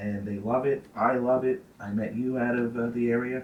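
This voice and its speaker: A man with a New York accent speaks at a medium pitch with fairly even intonation. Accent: heavy New York. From New York City (Brooklyn, Staten Island). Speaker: food social media personality. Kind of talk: casual chat.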